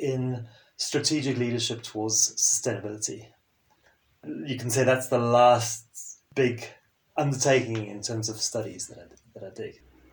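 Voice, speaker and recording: Somewhat breathy and at a moderate pace, a man with a French accent speaks at a medium pitch with fairly even intonation. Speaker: sustainability and leadership consultant. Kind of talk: interview conversation.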